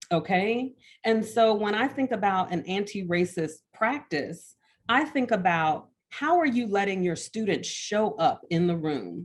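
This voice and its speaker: Over a quiet background, a woman with an American accent speaks at a medium pitch. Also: lively intonation, fairly slow pace. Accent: Alabama accent, comes out now and then. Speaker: art educator, professor. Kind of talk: panel discussion talk.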